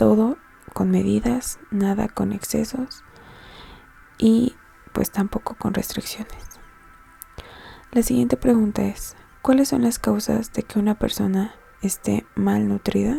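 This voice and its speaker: Soft-spoken over background music, a woman speaks at a very slow pace with long, frequent pauses. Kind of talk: educational study-guide narration, soft-spoken.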